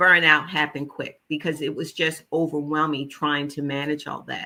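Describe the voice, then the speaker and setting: A woman with a Philadelphia accent speaks in a very deep, low voice. Her tone is animated and her pace moderate. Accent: Philadelphia American English. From US Northeast, West Philadelphia. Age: 70s. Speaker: holistic nutritionist. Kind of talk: interview.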